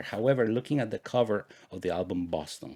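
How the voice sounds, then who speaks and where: A man talks in a Spanish accent. His pitch variation is ordinary. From Guatemala. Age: 40s. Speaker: podcast host. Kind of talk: personal storytelling monologue.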